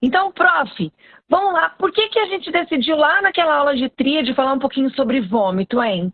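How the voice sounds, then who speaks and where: Her pitch swings very widely. A woman speaks at a moderate pace in a high voice. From Brazilian countryside. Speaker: veterinarian and postgraduate teacher. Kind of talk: live stream talk, educational. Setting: live stream.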